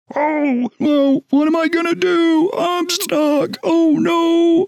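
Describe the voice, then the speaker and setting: Putting on a character voice, a man speaks at a very slow pace with an extremely high pitch. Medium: actual play. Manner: flustered, nervous.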